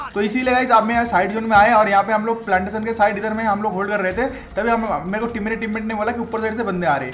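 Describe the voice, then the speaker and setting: A man with a high pitch speaks with hardly any pauses, with audible room echo and noticeable background noise. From India, West Bengal. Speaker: gaming YouTuber. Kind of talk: gameplay commentary. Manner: casual, animated.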